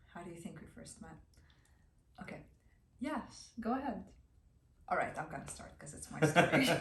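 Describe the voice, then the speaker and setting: Pitch swings very widely at a moderate pace, with long pauses coming often. Room echo is audible. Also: woman, fairly low pitch for a woman, big swings in loudness. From Lebanon. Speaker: physical therapist. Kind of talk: casual chat.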